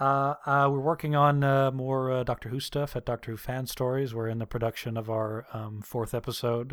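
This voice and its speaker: The man speaks at a moderate pace and medium pitch, in monotone, flat intonation with hardly any pauses. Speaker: voice actor. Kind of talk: casual interview chat. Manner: hesitant, filler-heavy.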